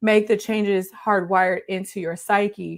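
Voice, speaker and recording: On a very clean recording with a silent background, a woman speaks at a fairly slow pace with fairly even intonation. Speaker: leadership coach for healthcare leaders. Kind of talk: live stream talk. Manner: stumbling over words.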